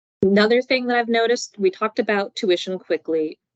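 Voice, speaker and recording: The sound is dry and close, with no echo. A woman speaks at a fairly quick pace. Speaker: university grants administrator. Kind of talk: presentation. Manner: fast.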